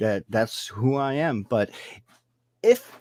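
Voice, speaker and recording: The man's pitch is fairly high, and his intonation is lively. He speaks very slowly in a dry, close sound with no echo. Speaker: paranormal investigator. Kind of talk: interview. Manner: halting.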